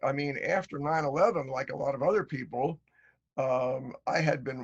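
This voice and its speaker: With an American accent, a man speaks at a moderate pace in a somewhat breathy voice with a fairly high pitch. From United States. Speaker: author and retired journalist. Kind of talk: interview.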